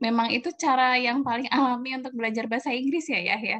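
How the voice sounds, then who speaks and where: A woman is speaking. The background is quiet. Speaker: nutrition researcher. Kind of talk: casual interview.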